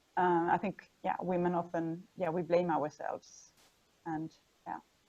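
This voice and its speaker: A woman speaks at a medium pitch and a moderate pace. Her tone is dark and mellow. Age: 40s. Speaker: sustainability strategist. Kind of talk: personal testimony in interview.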